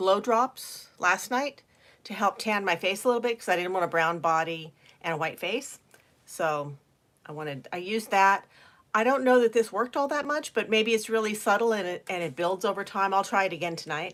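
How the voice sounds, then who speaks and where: A woman with a plain, everyday voice and lively intonation. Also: medium pitch for a woman, fairly quick pace. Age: 60s. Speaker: beauty vlogger. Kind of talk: casual chat. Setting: livestream. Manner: chatty, casual.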